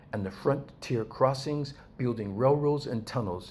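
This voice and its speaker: A man is speaking. His voice is somewhat breathy. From US West Coast, East Los Angeles. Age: 60s. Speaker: video blogger. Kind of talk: personal commentary monologue. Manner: conversational, addresses viewers directly.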